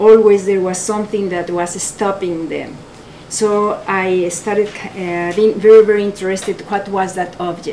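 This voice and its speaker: With a strong Mexican accent, a woman talks in a monotone, flat delivery over noticeable background noise. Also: medium pitch for a woman, moderate pace. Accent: heavy Mexican Spanish. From Mexico. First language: Spanish. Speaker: photographer, artist. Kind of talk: gallery talk. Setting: art gallery with audience. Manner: halting.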